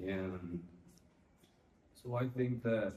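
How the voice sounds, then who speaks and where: Speaking with a Spanish accent, a man has a dark, mellow tone and fairly even intonation. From Mexico. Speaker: student guest. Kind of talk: interview. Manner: hesitant, with fillers.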